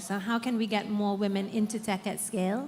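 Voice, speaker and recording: In a British accent, a woman speaks at a moderate pace and medium pitch with monotone, flat intonation. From United Kingdom. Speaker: social enterprise founder. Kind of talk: panel discussion.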